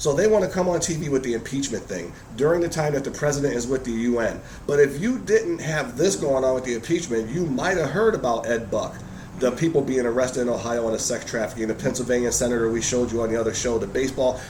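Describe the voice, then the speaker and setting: Amid noticeable background noise and audible room echo, a man at medium pitch talks at a very fast pace with lively intonation. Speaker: political video blog host. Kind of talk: political commentary chat.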